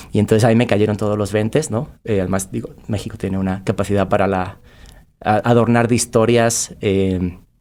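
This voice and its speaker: A man with an ordinary speaking voice, fairly low pitch, fairly even intonation and a moderate pace. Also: very clean recording, silent background. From Spain. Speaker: podcast guest, creative. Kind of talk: casual interview chat.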